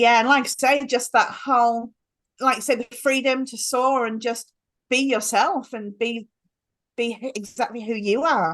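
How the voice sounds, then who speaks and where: A woman with a British accent speaks in a high pitch at a moderate pace, her intonation fairly even. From England. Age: 40s. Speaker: life coach. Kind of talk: interview conversation.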